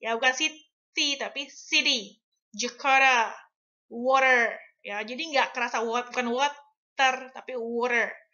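The speech moves at a very slow pace over a quiet background. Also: woman. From Indonesia. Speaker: English teacher. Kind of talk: tutorial. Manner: code-switching Indonesian and English. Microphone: webcam.

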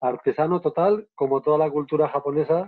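Against a quiet background, a man talks at a moderate pace with fairly high pitch and fairly even intonation. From Navarre, Spain. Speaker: photographer and filmmaker, travel guide. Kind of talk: live online interview. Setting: live video stream. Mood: warm, enthusiastic storytelling. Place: home room. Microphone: earbuds.

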